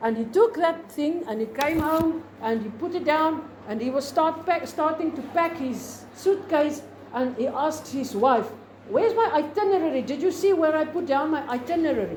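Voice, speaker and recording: A woman with a South African accent speaks at a moderate pace, her high voice full of lively intonation. Noticeable background noise and audible room echo fill the recording. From South Africa, Free State. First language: Afrikaans. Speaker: teacher. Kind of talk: lecture. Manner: halting.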